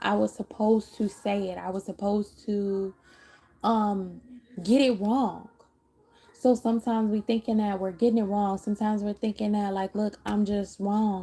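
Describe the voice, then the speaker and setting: Somewhat breathy and dark, mellow in tone, a woman's medium-pitched voice moves at a moderate pace with monotone, flat intonation. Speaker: tarot reader. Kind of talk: live tarot reading.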